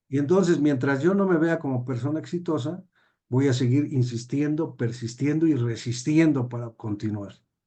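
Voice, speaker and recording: Against a quiet background, a man with a fairly high pitch and a dark, mellow tone speaks at a moderate pace with ordinary pitch variation. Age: 60s. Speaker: judge and teacher. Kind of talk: interview.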